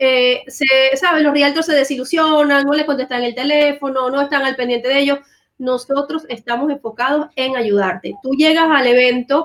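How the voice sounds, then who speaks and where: Her voice sits high, with fairly even intonation, as this woman talks at a moderate pace. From Venezuela. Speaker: real estate team leader. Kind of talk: livestream chat.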